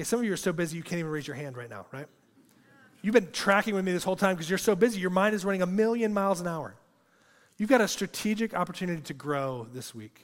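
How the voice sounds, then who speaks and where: Speaking very fast, a man uses a high pitch and lively intonation. His loudness swings widely. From rural agricultural area. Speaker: preacher. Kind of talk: sermon.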